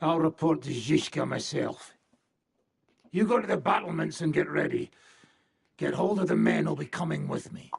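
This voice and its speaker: A man uses a raspy, put-on character voice at a moderate pace. Long, frequent pauses break up his speech. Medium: video game. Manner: gruff, blunt, crude.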